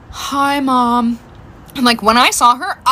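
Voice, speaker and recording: A woman's breathy, high-pitched put-on character voice at a moderate pace. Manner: weak, dramatic.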